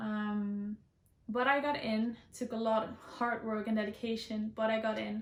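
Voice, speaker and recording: In a Dutch accent, a woman with a fairly high pitch talks with monotone, flat intonation over noticeable background noise. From Netherlands. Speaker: student and beauty vlogger. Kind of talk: casual Q&A vlog. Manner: hesitant, many ums.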